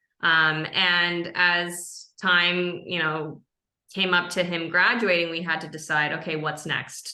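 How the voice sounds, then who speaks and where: Bright and sharp in tone, a woman with an American accent speaks very slowly amid audible room echo. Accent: American, from her American mother. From Japan (Tokyo). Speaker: product marketing lead. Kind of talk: podcast interview.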